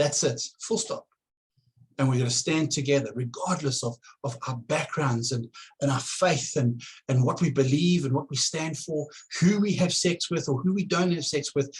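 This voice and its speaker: Fairly high, somewhat breathy male voice with a South African accent, ordinary pitch variation and a moderate pace. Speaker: political candidate. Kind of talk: campaign address to camera. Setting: at home. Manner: halting, many repetitions.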